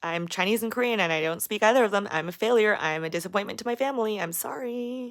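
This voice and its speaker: This woman talks at a very fast pace in an animated tone with a fairly high pitch. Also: ordinary pitch variation. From Las Vegas, US. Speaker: YouTuber. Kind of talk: livestream Q&A. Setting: livestream.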